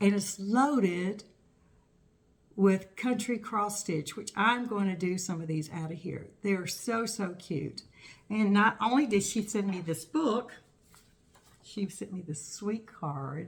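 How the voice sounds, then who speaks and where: Very slow female speech with ordinary pitch variation. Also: medium pitch for a woman. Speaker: cross stitch vlogger. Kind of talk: casual show-and-tell vlog. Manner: casual, halting with fillers.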